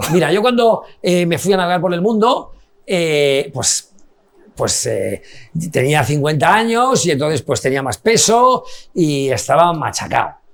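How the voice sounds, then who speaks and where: In a Madrid accent, a high-pitched man speaks at a fairly slow pace with very wide pitch swings. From Spain, Madrid. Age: 50s. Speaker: nightclub owner. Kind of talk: casual chat.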